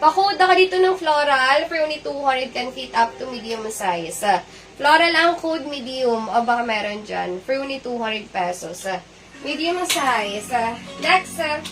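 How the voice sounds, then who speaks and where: A woman speaks at a moderate pace in a high voice. Her pitch swings very widely, with noticeable noise behind her. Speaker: online live seller. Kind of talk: live selling sales pitch.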